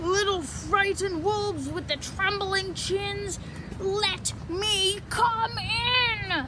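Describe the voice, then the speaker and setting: Over loud background noise, a woman uses a put-on character voice at a very slow pace. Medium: read story. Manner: menacing.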